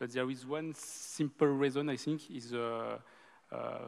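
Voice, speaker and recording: A man talks with a strong French accent at medium pitch. His intonation is fairly even. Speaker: bank executive on a panel. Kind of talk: panel discussion. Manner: halting, many fillers.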